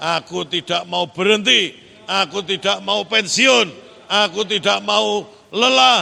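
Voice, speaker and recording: Raised, projected voice of a man, lively intonation and very slow pace, with noticeable background noise. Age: 50s. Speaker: pastor. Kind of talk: sermon.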